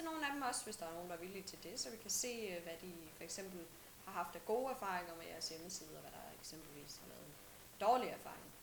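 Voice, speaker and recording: A woman at a medium pitch with lively intonation and a fairly quick pace, big swings in loudness, audible room echo and noticeable background noise. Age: 20s. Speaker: student intern. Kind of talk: self-introduction video message. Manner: halting, many filler sounds.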